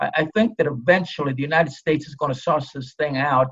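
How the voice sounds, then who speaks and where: At a very fast pace, a man with an American accent speaks in a bright, sharp tone at a fairly high pitch with fairly even intonation. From Los Angeles, US. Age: 70s. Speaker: retired police officer and author. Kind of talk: interview.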